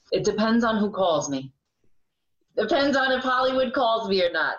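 Keeping a moderate pace, a woman talks with an American accent. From Sullivan County, New York. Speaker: actor and driving school helper. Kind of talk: interview, casual chat.

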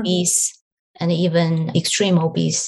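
This woman has a fairly low voice. She sounds somewhat breathy. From northern China. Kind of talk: interview.

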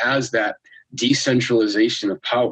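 The sound is dry and close, free of echo. An American accent comes through in the speech. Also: man. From Worcester, Massachusetts. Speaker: astrologer. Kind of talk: casual conversation.

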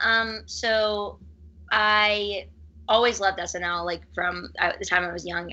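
This woman has an unremarkable speaking voice with fairly even intonation. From Pittsburgh, Pennsylvania, US. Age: 30s. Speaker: TV archivist turned campaign staffer. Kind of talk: casual interview chat. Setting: living room.

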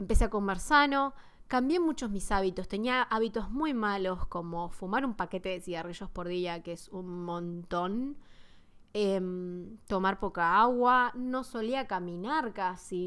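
A woman with a Rioplatense accent, medium pitch, lively intonation and a fairly slow pace, on a very clean recording with a silent background. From Argentina, Buenos Aires. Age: 20s. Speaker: fitness podcaster. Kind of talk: casual monologue.

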